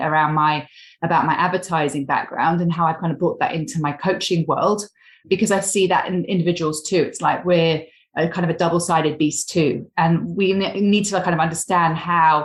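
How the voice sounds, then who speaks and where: The speaker talks at a fairly quick pace in a somewhat breathy voice, with very even loudness and fairly even intonation, on a very clean recording with a silent background. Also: woman. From England. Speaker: career coach. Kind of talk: podcast interview.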